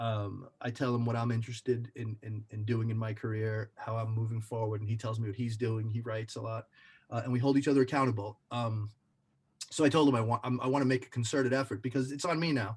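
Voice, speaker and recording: This man's fairly quick speech is somewhat breathy, with ordinary pitch variation. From Brooklyn, New York. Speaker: actor. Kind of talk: casual chat. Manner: halting, many repetitions.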